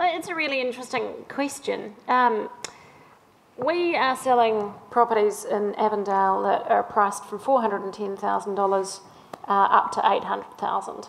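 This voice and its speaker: Through audible room echo and noticeable background noise, a woman with a New Zealand accent speaks at a moderate pace, her fairly high pitch showing ordinary pitch variation. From Auckland, New Zealand. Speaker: property developer. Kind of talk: panel discussion. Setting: stage with audience.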